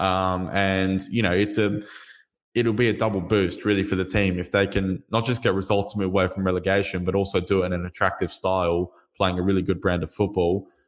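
A man with an Australian accent, very deep and low in pitch, monotone and flat, at a fairly quick pace with very even loudness on a very clean recording with a silent background. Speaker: football journalist and editor. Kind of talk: interview.

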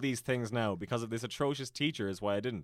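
A man's fairly low-pitched voice on a very clean recording with a silent background. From Ireland, County Tipperary. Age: 20s. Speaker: YouTuber. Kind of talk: casual chat.

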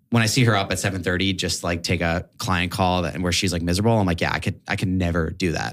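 With a very deep, low pitch, a man races along at a very fast pace, his intonation fairly even and hardly any pauses between words. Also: very clean recording, silent background. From New York City, Manhattan. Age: 20s. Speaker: podcast guest, former videographer. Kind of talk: casual chat.

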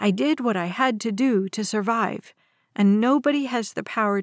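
Ordinary pitch variation from a natural reading voice, quiet background behind it

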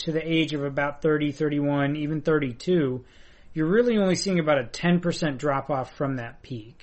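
Moderate pace and ordinary pitch variation from a man with an ordinary speaking voice, fairly high in pitch. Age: 20s. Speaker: hockey analyst. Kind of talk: casual chat.

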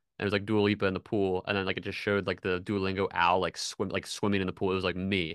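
A man talks very fast in a very deep, low voice, with hardly any pauses and a flat, monotone delivery. The sound is dry and close with no echo, over a quiet background. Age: 30s. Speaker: social media creative director. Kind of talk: casual chat. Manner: many fillers, conversational.

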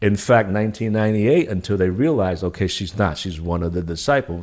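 A man with a New York accent at a moderate pace, ordinary pitch variation, very clean recording and silent background. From New York City. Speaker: military veteran and former career advisor. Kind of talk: casual chat. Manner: halting.

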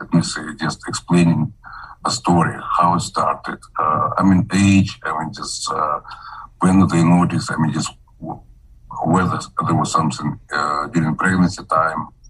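Noticeable background noise runs behind a man's voice. He talks at a moderate pace with long, frequent pauses. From Kazakhstan. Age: 70s. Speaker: physician and microbiologist. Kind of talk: interview. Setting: video call. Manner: halting.

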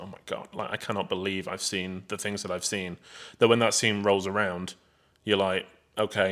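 On a very clean recording with a silent background, a man with an English accent speaks at a moderate pace in a bright, sharp tone, his pitch fairly low. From England. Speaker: film podcast co-host. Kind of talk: casual chat. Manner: laughs often.

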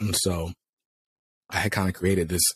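In a very clean recording with a silent background and a dry, close sound with no echo, a man with an American accent speaks in a very deep, low pitch, somewhat breathy. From US South, North Carolina. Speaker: comics YouTuber. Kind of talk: casual interview.

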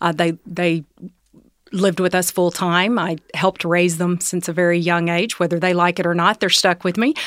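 A woman talks at a moderate pace in a Southern US accent, her intonation flat and monotone. The sound is dry and close with no echo, and her loudness stays very even. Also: fairly low pitch for a woman. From Tennessee, US South. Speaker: executive and leadership coach. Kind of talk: casual interview conversation.

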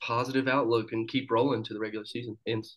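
In a normal speaking voice, a man talks at a medium pitch and a fairly quick pace. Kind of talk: casual chat. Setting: video call.

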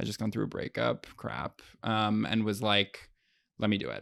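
The recording is very clean, with a silent background. A man with a normal speaking voice talks at a medium pitch and a moderate pace. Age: 20s. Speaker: comedian and podcast host. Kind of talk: casual chat. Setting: studio.

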